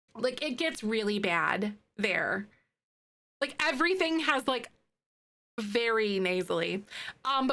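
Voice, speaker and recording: A woman with a Wisconsin accent speaks at a very slow pace, leaving long, frequent pauses. Her fairly high voice has lively intonation. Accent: mild Midwestern, Wisconsin. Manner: casual, chatty, many fillers.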